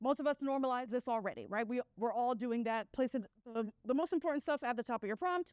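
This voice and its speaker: A woman speaks very fast at a high pitch, with ordinary pitch variation and very even loudness. The sound is dry and close, with no echo. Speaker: conference speaker. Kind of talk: conference talk.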